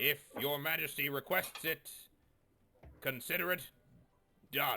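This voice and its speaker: A man puts on a character voice, fairly high in pitch, with fairly even intonation. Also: moderate pace. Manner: sobbing, emotional.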